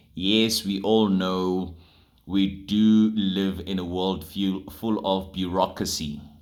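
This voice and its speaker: A man with a very deep, low pitch talks amid audible room echo. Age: 30s. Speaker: radio presenter. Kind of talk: casual vlog monologue.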